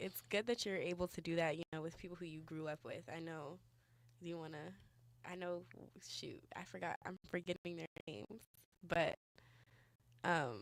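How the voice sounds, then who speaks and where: Leaving long, frequent pauses, a woman with a Californian accent speaks at a fairly low pitch in a dry, close sound with no echo. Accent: Californian American English. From Los Angeles, California. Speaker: student activist radio co-host. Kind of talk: casual chat on live radio. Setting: radio studio.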